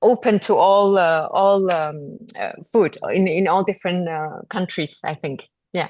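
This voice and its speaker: A woman speaks with a Malaysian accent. Her pace is fairly slow. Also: medium pitch for a woman, ordinary pitch variation. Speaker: podcast guest, cooking teacher. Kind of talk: interview conversation. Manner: halting, many fillers.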